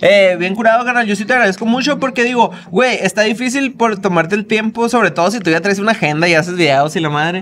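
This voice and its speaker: The speaker talks at a very fast pace with hardly any pauses and ordinary pitch variation. Light background noise is present. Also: man, high pitch for a man. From Hermosillo, Sonora, Mexico; Sonora, Mexico. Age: 30s. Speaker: food content creator. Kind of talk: casual chat. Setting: restaurant. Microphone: studio mic.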